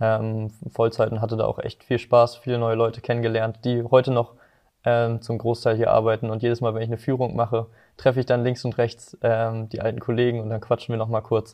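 A man with a medium pitch delivers his words fairly quickly in a flat, monotone way. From northern Germany, Hamburg and Lower Saxony. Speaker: work-study business student. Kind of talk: podcast interview.

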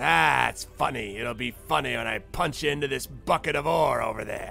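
A raspy, put-on character voice from a man, moderate in pace, with clear background noise. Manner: gruff, threatening, suspicious.

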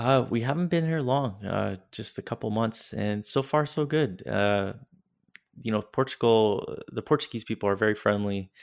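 With a Canadian accent, a man talks in a normal speaking voice at a moderate pace, using a medium pitch and ordinary pitch variation. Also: very clean recording, silent background. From northern Canada, Yellowknife. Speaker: entrepreneur. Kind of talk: interview.

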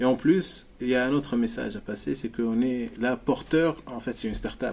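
This man talks at a very fast pace with hardly any pauses. His voice sits at a medium pitch with ordinary pitch variation. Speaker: entrepreneur, founder of a marketplace. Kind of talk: business interview.

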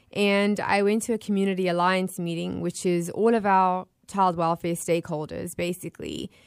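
A woman speaks at medium pitch and a moderate pace, with hardly any pauses. Her intonation is monotone and flat, and the sound is dry and close with no echo. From South Africa, Johannesburg. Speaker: nonprofit founder and CEO. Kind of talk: interview. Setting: remote call into radio show.

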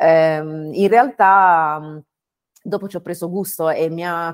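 This woman's voice sits fairly low. Her intonation is fairly even. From Bari, southern Italy. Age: 30s. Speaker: growth consultant and startup mentor. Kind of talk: interview conversation. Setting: video call from home. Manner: halting, many fillers.

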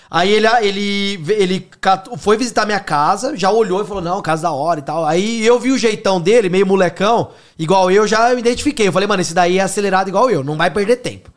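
The delivery runs fairly quickly, and the pitch moves in an ordinary way. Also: man, high pitch for a man. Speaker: podcast host. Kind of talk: casual chat.

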